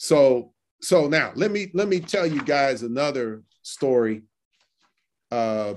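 With lively intonation, a man speaks at a very slow pace on a very clean recording with a silent background. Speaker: law professor. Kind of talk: interview. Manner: halting.

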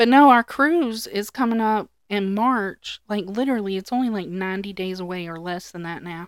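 On a very clean recording with a silent background, a woman with an unremarkable speaking voice talks at a moderate pace at a medium pitch, with ordinary pitch variation, big swings in loudness, and hardly any pauses. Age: 30s. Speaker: podcast co-host. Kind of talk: casual chat. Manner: laughs often.

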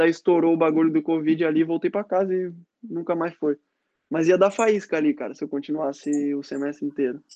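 Talking at a fairly quick pace, a man with a fairly high pitch and a dark, mellow tone keeps his intonation fairly even. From Florianópolis, southern Brazil. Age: 20s. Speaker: former student athlete, futsal player. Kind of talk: casual interview chat. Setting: live stream.

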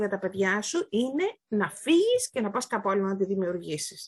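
The voice is somewhat breathy and moves at a moderate pace. The background is quiet. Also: woman. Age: 40s. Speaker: podcast guest. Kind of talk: casual chat. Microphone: may not have very good sound.

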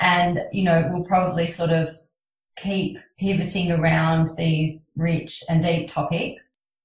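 A woman speaks at a fairly slow pace in a fairly low pitch, somewhat breathy, with monotone, flat intonation. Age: 40s. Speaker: podcast host. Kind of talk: interview.

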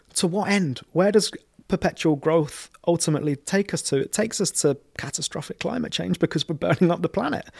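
A man with a London accent speaks at a fairly quick pace in a high voice with ordinary pitch variation, in a very clean, dry, close recording with a silent background and no echo. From London (Camden Town). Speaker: community organiser. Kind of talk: interview conversation.

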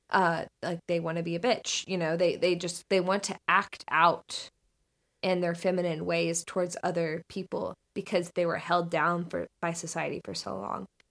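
This American-accented woman speaks at a moderate pace, with vocal fry and a flat, monotone delivery at a fairly low pitch. The sound is dry and close with no echo, on a very clean recording over a silent background. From US South, Northern Florida. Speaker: video essayist and podcaster. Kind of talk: casual chat.

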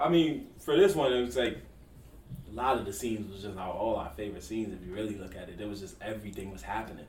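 Amid noticeable background noise, a man with a fairly low pitch talks at a very fast pace in an animated tone, with lively intonation and big swings in loudness. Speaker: podcast host. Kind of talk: casual podcast chat. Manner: animated, casual, slangy.

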